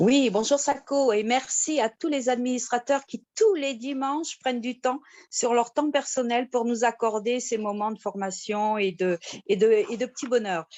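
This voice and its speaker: A woman's high voice moves at a fairly slow pace and varies in pitch in an ordinary way. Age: 60s. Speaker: retired nurse giving a testimonial. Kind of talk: testimony. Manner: hesitant, many fillers.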